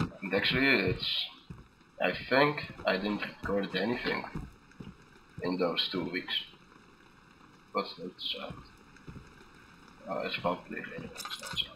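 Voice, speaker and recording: At a fairly slow pace, a man talks with long, frequent pauses amid noticeable background noise. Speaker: gaming commentator. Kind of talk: let's play commentary. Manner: halting.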